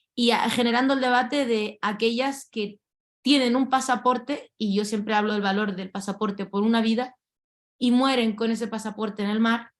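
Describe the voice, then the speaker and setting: With a plain, everyday voice, a woman talks at a moderate pace in a fairly high pitch and fairly even intonation. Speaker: lawyer and activist. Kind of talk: panel talk. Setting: video call.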